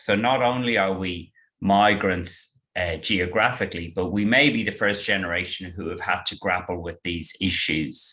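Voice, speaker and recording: With an Irish accent, a man speaks at a fairly slow pace in a very deep, low pitch. His tone is bright and sharp, and the background is quiet. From Ireland. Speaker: estate planning lawyer. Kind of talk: webinar presentation.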